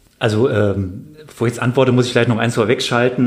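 A man speaks with ordinary pitch variation while noticeable background noise runs underneath. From Bonn, Rhineland, western Germany. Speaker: army officer, paratrooper, Afghanistan veteran. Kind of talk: interview, personal testimony. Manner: halting, many fillers and repeated words.

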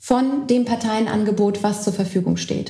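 Her pitch varying in an ordinary way, a woman talks at a fairly slow pace. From Berlin, Germany. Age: young. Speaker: party lead candidate, politician. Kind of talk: casual political chat. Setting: co-working space, recorded. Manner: hesitant, many fillers.

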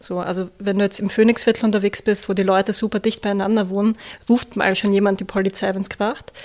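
Talking at a very fast pace with a Viennese accent, a woman keeps a medium pitch and monotone, flat intonation. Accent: Viennese Austrian German. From Austria, Vienna. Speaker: social worker, project coordinator. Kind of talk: interview.

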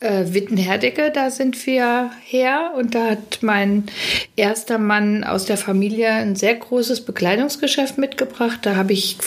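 A woman at a fairly slow pace and fairly high pitch, with ordinary pitch variation, over noticeable background noise. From western Germany, Witten/Herdecke area. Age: 60s. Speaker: caterer. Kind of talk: casual chat. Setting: studio.

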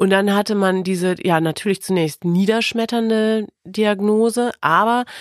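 A woman with an ordinary speaking voice at a medium pitch, a fairly slow pace and ordinary pitch variation, in a dry, close sound with no echo. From Lower Saxony, Osnabrück. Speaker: radio presenter. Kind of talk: personal testimony in interview. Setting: studio.

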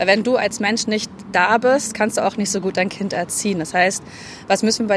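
Medium pitch and fairly even intonation from a woman, a normal speaking voice at a moderate pace. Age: 30s. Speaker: fitness coach. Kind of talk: interview.

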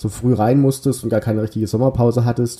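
A man's somewhat breathy, dark, mellow voice at a fairly quick pace, with fairly even intonation. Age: 30s. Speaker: football podcast host and journalist. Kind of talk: casual chat.

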